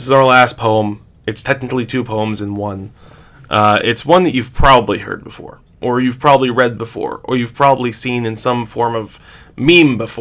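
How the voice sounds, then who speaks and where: A man talks at a medium pitch and a moderate pace. His loudness swings a lot, and he leaves long, frequent pauses. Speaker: teacher. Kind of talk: casual chat.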